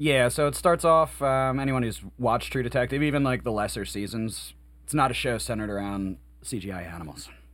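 At a fairly quick pace, a man with a plain, everyday voice speaks in a medium pitch with lively intonation. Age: 30s. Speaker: podcast host and band musician. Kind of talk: casual chat.

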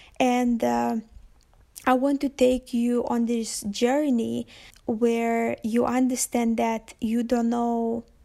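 In a Lithuanian accent, a woman speaks very slowly with monotone, flat intonation. Her voice is fairly high in pitch, with a dark, mellow tone. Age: 20s. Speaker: podcaster and visual artist. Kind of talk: solo monologue podcast intro. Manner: hesitant, many fillers.

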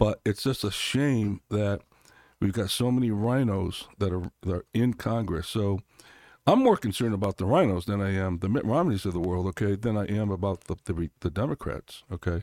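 A plain, everyday voice from a man with an American accent, fairly low in pitch with ordinary pitch variation, at a moderate pace, dry and close with no echo on a very clean recording over a silent background. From Connecticut, US. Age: 60s. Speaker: congressional candidate. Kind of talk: interview conversation.

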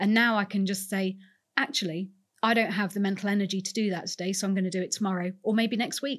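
Very fast, somewhat breathy speech from a woman at medium pitch with fairly even intonation. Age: 40s. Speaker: museum curator. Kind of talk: interview conversation.

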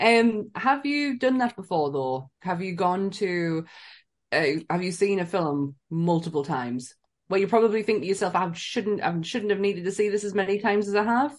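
A woman speaks with a northern English accent and lively intonation. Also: medium pitch for a woman, moderate pace. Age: 40s. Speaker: podcast co-host. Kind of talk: casual chat.

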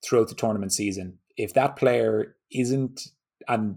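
In an Irish accent, the voice holds fairly even intonation on a very clean recording with a silent background. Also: man. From Ireland. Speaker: golf fitness trainer. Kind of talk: podcast interview.

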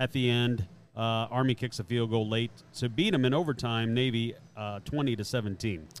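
Here is a man with an unremarkable speaking voice at a medium pitch. He keeps a moderate pace and ordinary pitch variation. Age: 50s. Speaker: sports betting podcast co-host. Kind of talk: casual chat. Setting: casino sportsbook.

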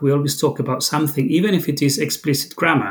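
A man talks in a somewhat breathy voice. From Argentina. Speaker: university lecturer in language education. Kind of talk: interview.

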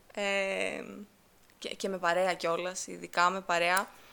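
A woman talks in a bright, sharp tone that sounds animated. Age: 20s. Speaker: podcast host, university student. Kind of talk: solo casual monologue.

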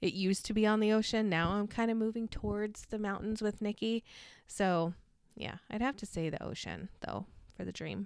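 In a very clean recording with a silent background, a woman with an American accent speaks in a normal speaking voice at medium pitch, with fairly even intonation and a moderate pace. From California desert, US. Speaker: co-host and interviewee. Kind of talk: casual interview chat.

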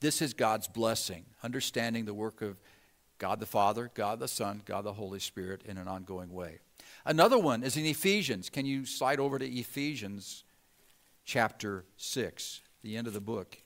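A man speaks at a medium pitch and moderate pace in an ordinary speaking voice. The recording is very clean, with a silent background. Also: ordinary pitch variation. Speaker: pastor. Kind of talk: sermon. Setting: church. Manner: conversational, humble and self-deprecating, laughs.

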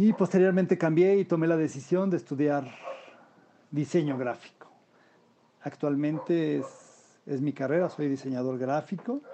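A man speaks at a moderate pace with ordinary pitch variation. His speech is broken by long, frequent pauses. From Mexico City. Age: 50s. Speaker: unemployed graphic designer. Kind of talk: interview.

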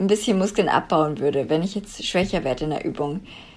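Speaking at a moderate pace with ordinary pitch variation, a woman uses a plain, everyday voice in a very clean recording with a silent background. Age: 20s. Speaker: former coaching client. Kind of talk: interview.

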